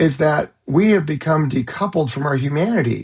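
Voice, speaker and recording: A man talks fairly quickly with vocal fry in a fairly high voice. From California. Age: 60s. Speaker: psychologist. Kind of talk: direct-to-camera monologue. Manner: hesitant, with frequent fillers.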